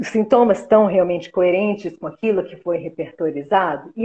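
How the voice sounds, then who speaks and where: A woman with a somewhat breathy voice. Her pitch sits in the middle range. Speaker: homeopathic therapist and teacher. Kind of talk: live interview, explanatory chat. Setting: live stream video call.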